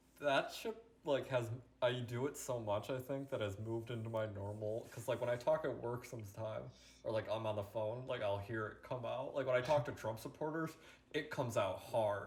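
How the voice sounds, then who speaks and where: A man with an American accent talks at a fairly quick pace and medium pitch, his intonation fairly even, amid noticeable background noise. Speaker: podcast co-host. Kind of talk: casual chat.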